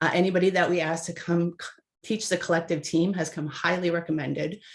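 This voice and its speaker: Speaking very fast, a woman has a fairly low pitch and a slight Minnesota accent. The background is quiet. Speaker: webinar moderator. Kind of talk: webinar introduction. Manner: upbeat.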